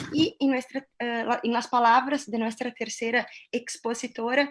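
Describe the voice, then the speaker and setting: With a Brazilian accent, a woman speaks in a high pitch at a moderate pace. Her pitch variation is ordinary. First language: Portuguese (speaking Spanish). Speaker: panel moderator. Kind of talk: academic panel discussion. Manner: hesitant, many fillers.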